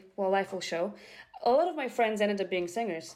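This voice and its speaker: A woman speaks with a Bulgarian accent. Her tone is dark and mellow. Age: young. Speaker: opera répétiteur (vocal coach pianist). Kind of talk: interview.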